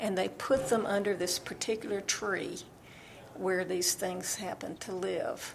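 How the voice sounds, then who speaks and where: A woman speaks at a fairly slow pace with an Alabama accent. Her pitch sits in the medium range. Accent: Southern US (Alabama). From US South, Alabama. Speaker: novelist. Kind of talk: interview.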